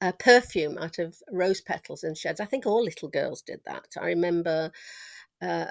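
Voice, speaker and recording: A woman with a Manx accent, in a dry, close recording with no echo. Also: moderate pace, very clean recording, silent background. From Isle of Man (Ramsey). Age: 70s. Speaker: interviewee sharing childhood memories. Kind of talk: oral history interview. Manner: conversational with frequent hesitations.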